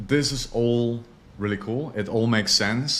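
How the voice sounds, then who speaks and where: A man with a non-native accent, medium pitch, and a fairly slow pace. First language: not English. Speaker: online marketing course teacher. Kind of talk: tutorial. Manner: casual, filler-heavy.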